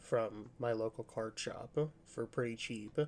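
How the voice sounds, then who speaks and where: Soft-spoken and relaxed, a man talks at a fairly slow pace with fairly even intonation. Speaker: card game content creator. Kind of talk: casual deck overview tutorial. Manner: relaxed, hesitant with fillers.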